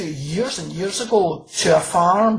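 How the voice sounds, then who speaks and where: Somewhat breathy, a woman with a Glaswegian accent speaks at a very slow pace. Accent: Glaswegian Scottish. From Scotland, Glasgow. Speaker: crime novelist. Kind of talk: interview.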